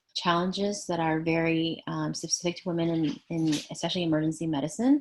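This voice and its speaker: A woman with a fairly low pitch talks at a fairly quick pace and ordinary pitch variation. The recording is very clean against a silent background. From Canada. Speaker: emergency physician. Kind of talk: panel talk. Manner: halting.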